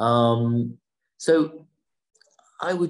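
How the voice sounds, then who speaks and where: Speaking with a southern English accent, a man at medium pitch makes very wide pitch swings. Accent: British, general southern English. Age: 60s. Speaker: businessman and winery co-founder. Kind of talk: casual interview.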